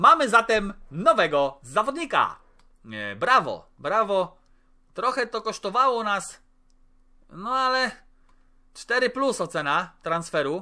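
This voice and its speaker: A man's high-pitched, raised and projected voice, bright and sharp in tone, with very wide pitch swings, a very slow pace and long, frequent pauses against a quiet background. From Poland. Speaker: gaming YouTuber. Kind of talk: gameplay commentary. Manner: animated. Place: home room.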